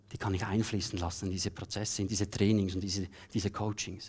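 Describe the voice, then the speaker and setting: A man speaks against a quiet background. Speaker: keynote speaker and coach; keynote speaker, coach. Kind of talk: keynote speech. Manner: animated. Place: stage. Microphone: headset.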